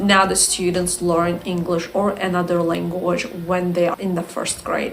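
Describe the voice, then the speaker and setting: A woman's fairly low voice comes through against noticeable background noise. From Azerbaijan. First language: Azerbaijani. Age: 20s. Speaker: English teacher. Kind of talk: casual vlog talk.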